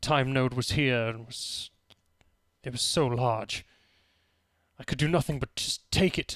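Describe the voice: A man in a put-on character voice speaks breathily at a medium pitch and moderate pace, with fairly even intonation and long, frequent pauses, in a dry, close sound with no echo on a very clean recording with a silent background.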